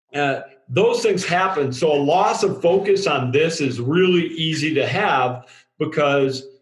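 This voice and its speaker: In a room with audible echo, a fairly high-pitched man speaks at a fairly slow pace, with very even loudness and ordinary pitch variation. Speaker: drilling industry safety writer. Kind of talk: podcast discussion.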